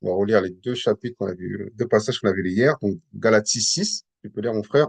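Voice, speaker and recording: Fairly low-pitched with ordinary pitch variation, a man talks at a fairly quick pace in a dry, close sound with no echo. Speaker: Bible teacher. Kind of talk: Bible teaching session. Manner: hesitant, many repetitions.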